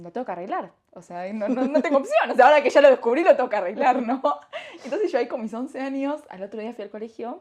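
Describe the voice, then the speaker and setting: A woman with a high pitch speaks very fast in an animated tone, with lively intonation and big swings in loudness. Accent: Argentine. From Argentina. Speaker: entrepreneur, company founder. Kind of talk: casual interview.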